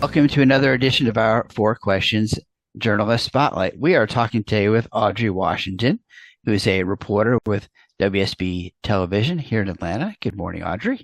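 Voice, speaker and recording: In an American accent, a man with an ordinary speaking voice talks at a fairly quick pace and fairly low pitch, with ordinary pitch variation, in a dry, close sound with no echo against a quiet background. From New York. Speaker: interview host, PR professional. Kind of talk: interview.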